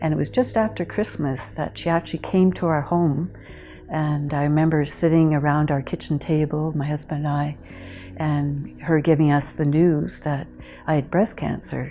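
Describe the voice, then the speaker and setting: Very deep, low pitch from a woman with a Canadian accent, fairly even intonation and a moderate pace. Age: 60s. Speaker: cancer survivor, retired anthropologist. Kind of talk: testimony. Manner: hesitant, with many fillers.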